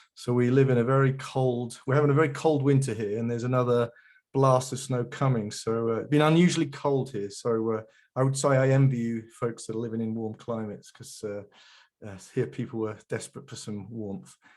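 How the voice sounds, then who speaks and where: A man with a British accent talks at a fairly quick pace. His medium-pitched voice keeps a fairly even intonation. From England. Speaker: geospatial industry veteran, guest speaker. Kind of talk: webinar presentation. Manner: hesitant, many fillers and repeats.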